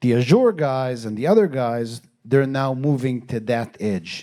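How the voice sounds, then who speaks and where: In a very clean recording with a silent background, a man with a non-native accent talks in a dark, mellow tone. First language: not English. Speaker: tech company CEO. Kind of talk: panel discussion.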